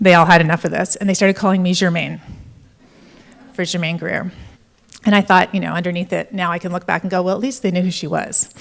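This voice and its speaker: A woman with vocal fry speaks very fast in a monotone, flat intonation at a fairly low pitch, broken by long, frequent pauses. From Canada. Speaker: entrepreneur and conference speaker. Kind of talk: conference keynote talk. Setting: stage with audience.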